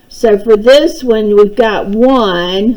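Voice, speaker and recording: There is noticeable background noise. The voice has ordinary pitch variation. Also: woman. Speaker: math teacher. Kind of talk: tutorial.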